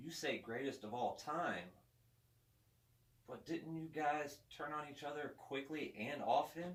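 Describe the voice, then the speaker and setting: Pausing long and often, a man speaks fairly slowly at a fairly high pitch with ordinary pitch variation. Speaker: interviewer, wrestling show host. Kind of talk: talk-show interviewer.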